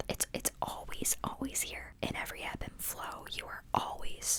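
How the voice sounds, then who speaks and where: Someone is whispering at a moderate pace amid noticeable background noise. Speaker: ASMR podcast host. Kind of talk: spiritual podcast ramble. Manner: whispered or soft-spoken.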